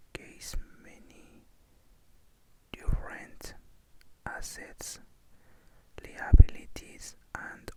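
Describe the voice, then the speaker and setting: A whisper comes out very slowly, with noticeable noise in the background. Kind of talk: whispered reading of an economics or bookkeeping textbook. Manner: halting, hesitant reading with repeated words.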